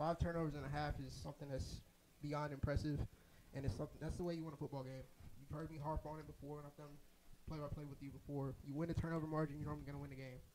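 A man speaks very fast in a flat, monotone delivery, his pitch fairly high for a man. Noticeable background noise sits behind him. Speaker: athletics staff member; play-by-play commentator. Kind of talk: casual chat during broadcast; sports commentary. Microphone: headset.

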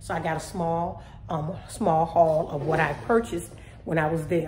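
Room echo is audible, along with light background noise. A woman with a fairly low pitch talks with fairly even intonation. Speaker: home vlogger. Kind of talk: casual vlog chat. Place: kitchen. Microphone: phone near.

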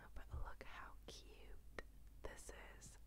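A woman talks over loud background noise. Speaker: ASMR creator. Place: home room. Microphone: handheld.

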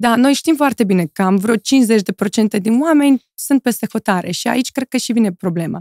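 A woman speaks with ordinary pitch variation. The background is quiet and the sound is dry, with no echo. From Moldova. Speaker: model and influencer; influencer. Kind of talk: casual interview chat. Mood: relaxed, thoughtful. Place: studio. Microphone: studio mic.

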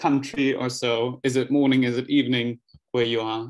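A man speaks at a moderate pace in a monotone, flat intonation against a quiet background. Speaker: workshop host. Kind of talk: online workshop welcome. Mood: friendly, welcoming. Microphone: video call.

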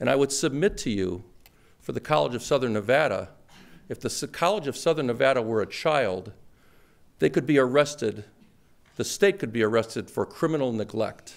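A man with an American accent, lively intonation and a moderate pace. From Chicago. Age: 50s. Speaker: award recipient, wealth management professional. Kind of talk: acceptance speech. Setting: stage with audience. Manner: humorous, conversational. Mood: earnest, pointed advocacy. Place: hall. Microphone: podium.

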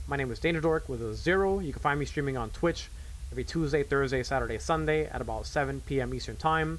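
A man speaks fairly quickly while light background noise runs underneath. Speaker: game streamer. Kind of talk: casual game review commentary and outro. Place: home room. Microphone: studio mic.

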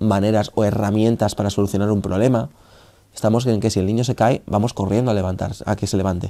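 Fairly quick speech from a man with a fairly low pitch, dark, mellow tone and fairly even intonation. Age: 20s. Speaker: anti-bullying activist. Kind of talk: interview testimony.

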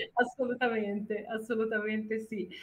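Against a quiet background, a woman is heard. She speaks at a fairly slow pace. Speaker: voice actor. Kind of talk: interview answer. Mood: cheerful, animated. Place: home room. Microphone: video call.

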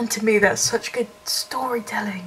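A woman speaks with a Southern English accent against noticeable background noise. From Brighton, England. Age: 20s. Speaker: film student. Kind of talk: casual talk to camera.

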